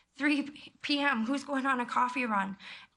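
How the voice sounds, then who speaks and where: Loud and bright, sharp in tone, a woman with a western Canadian accent talks at a moderate pace with fairly even intonation amid audible room echo. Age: 20s. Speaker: member of the public speaking to council. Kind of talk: public comment at council meeting. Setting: council chamber.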